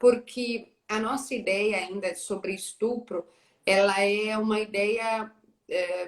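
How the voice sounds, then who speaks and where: Delivered at a very slow pace, the speech carries fairly even intonation. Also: woman, fairly high pitch for a woman. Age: 30s. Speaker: journalist. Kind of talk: live interview conversation.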